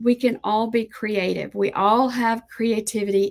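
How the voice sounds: Speaking slowly at a medium pitch, a woman keeps her intonation fairly even and her tone slightly mellow.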